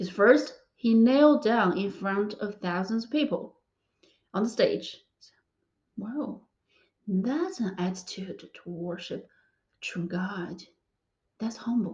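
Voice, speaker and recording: Speaking at a very slow pace with long, frequent pauses, a woman with a fairly high, somewhat breathy voice shows big swings in loudness. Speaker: physics PhD student sharing faith story. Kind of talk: testimony. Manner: halting.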